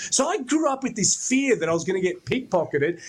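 At a fairly quick pace, a man with an Australian accent talks with very wide pitch swings over noticeable background noise. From Brisbane, Australia. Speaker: comedy segment contributor. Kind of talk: casual chat.

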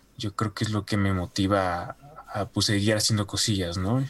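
A man with a Mexican accent talks in a fairly low pitch against a quiet background. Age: 20s. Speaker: animation student. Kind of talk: casual interview.

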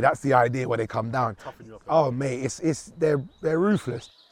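A man at medium pitch and a fairly quick pace, over noticeable background noise. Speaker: stand-up comedian. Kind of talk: stand-up comedy set with crowd work and storytelling bits. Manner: animated, punchy, conversational joke delivery.

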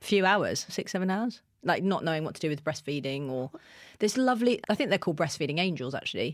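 A woman with a southern English accent, fairly quick, her pitch swinging very widely, on a very clean recording with a silent background. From southern England, Kent. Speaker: TV presenter and radio DJ. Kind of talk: casual chat.

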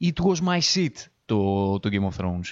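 Speaking at a fairly slow pace, a man uses an animated tone with very wide pitch swings. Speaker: podcast host. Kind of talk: solo monologue review.

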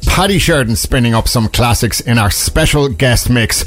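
A man with an Irish accent at a moderate pace, with music in the background. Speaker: radio DJ. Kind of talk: late-night dance radio DJ patter: back-announcing tracks, plugging events and the station. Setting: radio studio. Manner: upbeat, smooth, promo-style delivery with hesitant 'uh' fillers; warm and enthusiastic about the music.

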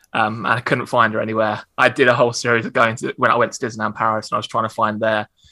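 With an Essex accent, a man at medium pitch speaks at a very fast pace with hardly any pauses, in a bright, sharp tone and monotone, flat intonation. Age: 30s. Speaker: stand-up comedian. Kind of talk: interview.

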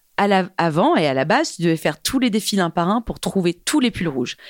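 A woman speaks at a moderate pace in a plain, everyday voice, pitched fairly low. The recording is very clean and dry, close with no echo and a silent background. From France and England (half English, half French). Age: 30s. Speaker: fashion tech entrepreneur. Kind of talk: casual interview chat.

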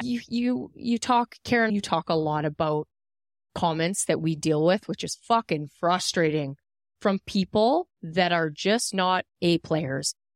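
A woman's normal speaking voice, fairly low in pitch with lively intonation, in a very clean, dry, close recording with a silent background and no echo. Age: 30s. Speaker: podcast co-host, beauty business owner. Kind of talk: casual chat.

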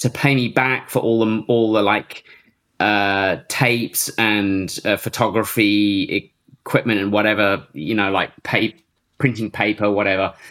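A man with an English Midlands accent, fairly low in pitch, fairly slow and fairly even in intonation, in a very clean recording with a silent background. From Northampton area, England. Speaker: techno producer and DJ. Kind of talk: casual interview.

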